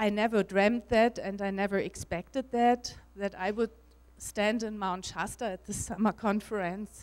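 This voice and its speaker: In a German accent, a woman speaks at a fairly slow pace with a medium pitch and fairly even intonation. The recording is very clean, with a silent background. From Germany. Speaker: spiritual speaker and author. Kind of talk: conference talk. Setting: stage with audience. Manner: halting.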